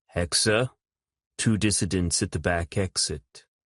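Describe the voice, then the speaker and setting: In a put-on character voice, a man rumbles at a very deep, low pitch with ordinary pitch variation and a moderate pace against a quiet background. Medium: read story. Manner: calm and detached.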